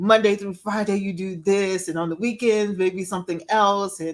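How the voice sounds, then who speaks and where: A woman with an American accent, animated tone and moderate pace. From US South. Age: 60s. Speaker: empowerment speaker and life coach. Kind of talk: interview.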